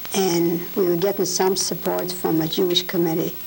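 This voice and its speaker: There is noticeable background noise behind a woman speaking. Her fairly low voice stays in a flat monotone. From Poland. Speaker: Holocaust survivor. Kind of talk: oral history interview.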